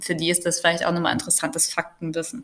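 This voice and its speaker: This is a woman speaking. Her pitch is fairly low. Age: 20s. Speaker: social worker. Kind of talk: casual chat.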